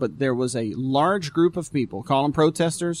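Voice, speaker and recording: At a moderate pace, a man speaks with a fairly high pitch, ordinary pitch variation and a normal speaking voice. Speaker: pastor. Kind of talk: casual talk show chat. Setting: live stream.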